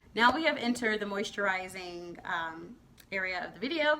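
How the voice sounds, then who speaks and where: A woman talks at a medium pitch against noticeable background noise. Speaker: beauty vlogger. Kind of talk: product review vlog. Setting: filming at home at night. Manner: fast; stumbling.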